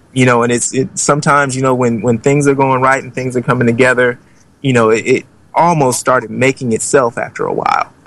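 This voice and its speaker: His pitch is medium. This man talks with an American accent. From Oakland, California. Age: 40s. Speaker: documentary filmmaker. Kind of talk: interview.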